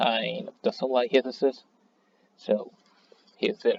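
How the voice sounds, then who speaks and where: A man with a non-native accent speaks at a fairly slow pace in a dry, close sound with no echo. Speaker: fighting game player. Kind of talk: casual commentary, gaming tier list rant.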